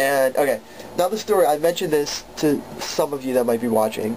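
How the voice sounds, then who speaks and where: A man's voice at medium pitch, lively in intonation, with noticeable background noise. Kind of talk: casual storytelling to camera.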